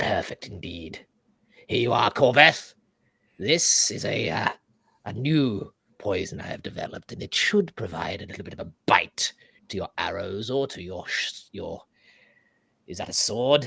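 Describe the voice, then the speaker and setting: A man's put-on character voice at medium pitch, at a moderate pace, with long, frequent pauses. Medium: actual play. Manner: fussy, irritable, formal.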